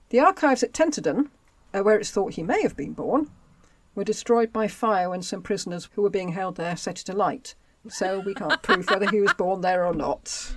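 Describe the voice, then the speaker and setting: A woman in a Home Counties accent speaks at a moderate pace, medium in pitch with lively intonation. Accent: southern English, home counties. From southern England, Buckinghamshire. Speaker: history podcast co-host. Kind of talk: reading aloud; casual chat.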